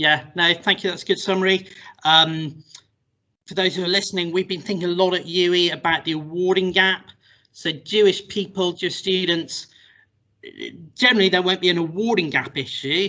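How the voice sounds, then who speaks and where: A man with an English accent talks at a fairly quick pace. His pitch is high and his intonation fairly even. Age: 40s. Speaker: university lecturer. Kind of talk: recorded interview.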